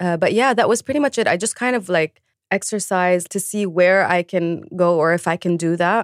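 In a Lebanese accent, a woman speaks with ordinary pitch variation, recorded very cleanly in a dry, close space with no echo and a silent background. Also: medium pitch for a woman, fairly quick pace. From Lebanon. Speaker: singer and musician. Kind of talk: interview.

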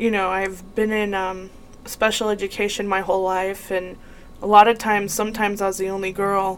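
With a medium pitch, a woman speaks in a monotone, flat way. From New Mexico, Las Cruces. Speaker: podcast host. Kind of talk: casual monologue.

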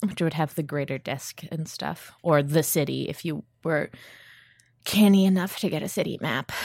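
A woman with a very deep, low pitch and vocal fry, ordinary pitch variation and a moderate pace, in a very clean recording with a silent background. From US Mid-Atlantic, Baltimore. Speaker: games designer and podcaster. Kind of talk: casual chat. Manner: animated.

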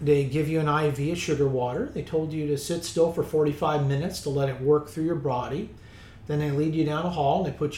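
The voice has a dark, mellow tone, somewhat breathy, moving at a moderate pace with fairly even intonation. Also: man. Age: 50s. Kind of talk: interview.

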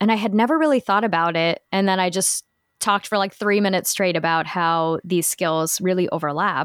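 A woman at medium pitch and a fairly quick pace, with ordinary pitch variation, very even loudness and a dry, close sound with no echo. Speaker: voiceover artist. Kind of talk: casual chat. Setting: remote recording with home microphone.

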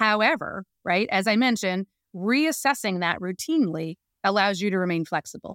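A woman with an American accent speaks in a plain, everyday voice at a medium pitch, with lively intonation and a moderate pace. Her loudness stays very even, and the sound is dry and close with no echo, a very clean recording over a silent background. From US, Northern Virginia. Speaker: business owner and CEO. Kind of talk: casual interview.

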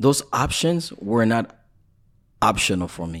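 Captured in a very clean recording with a silent background, a man speaks very slowly at a medium pitch with lively intonation. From Florida, Haitian family. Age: young. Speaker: life coach. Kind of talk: interview. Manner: frequent French-English code-switching; halting, repeats words.

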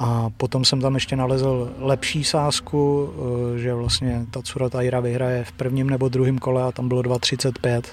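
At a fairly slow pace, a man talks in a monotone, flat intonation at a medium pitch. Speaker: MMA podcast co-host. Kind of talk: casual chat.

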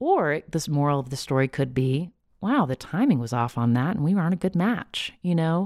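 A woman speaks with lively intonation at a moderate pace, in a dry, close sound with no echo. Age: 40s. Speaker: podcast host and author. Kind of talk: interview. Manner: halting.

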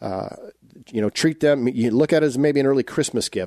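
The recording has a dry, close sound with no echo and a quiet background, carrying a man's dark, mellow tone with ordinary pitch variation. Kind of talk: radio show hosting, conversational. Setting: radio studio. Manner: warm, measured, formal.

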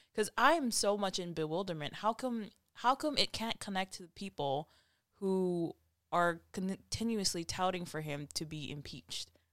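In a dry, close recording with no echo, a woman with an unremarkable speaking voice talks at a medium pitch, using lively intonation and big swings in loudness. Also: moderate pace. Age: 20s. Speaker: conservative podcast host. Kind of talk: casual chat.

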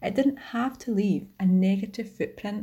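With a Scottish accent, a woman talks at a moderate pace in a medium pitch, her dark, mellow tone somewhat breathy and her pitch varying in an ordinary way. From Scotland. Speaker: community member. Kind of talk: testimony.

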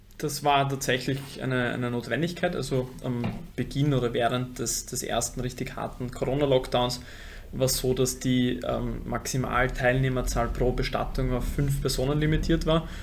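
In a room with audible echo, a man speaks at a moderate pace and medium pitch with monotone, flat intonation. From Vienna, Austria. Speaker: funeral company co-founder. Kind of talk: interview. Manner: halting, repeats words.

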